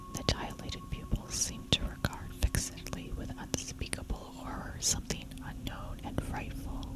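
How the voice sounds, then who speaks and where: Amid noticeable background noise, someone whispers at a moderate pace with hardly any pauses. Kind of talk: ASMR horror story reading. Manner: whispered.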